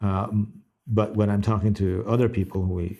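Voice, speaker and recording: A man with an American accent talks at a moderate pace in a very deep, low pitch, somewhat breathy and monotone. His flat delivery sits on a very clean recording with a silent background. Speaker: animation director and story writer. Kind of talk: interview. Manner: hesitant, with fillers.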